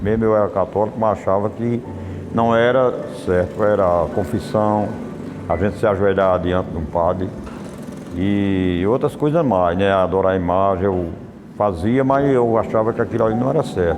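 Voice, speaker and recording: Over noticeable background noise and audible room echo, a man with a fairly low pitch speaks at a moderate pace with very even loudness, ordinary pitch variation, and long, frequent pauses. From Pernambuco, northeast Brazil. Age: 60s. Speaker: church member giving testimony. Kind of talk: testimony. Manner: halting.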